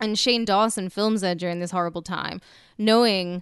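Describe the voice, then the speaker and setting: Over a quiet background, a woman with a British accent speaks with medium pitch and fairly even intonation. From Britain. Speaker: podcast co-host. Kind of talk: casual comedy banter.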